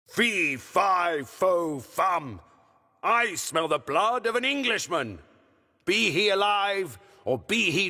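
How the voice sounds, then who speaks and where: Speaking very slowly, a man uses a put-on character voice. His pitch sits high. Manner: menacing, sniffing the air.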